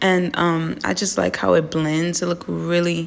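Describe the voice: A raspy woman's voice with vocal fry, fairly low in pitch with little pitch movement, at a fairly slow pace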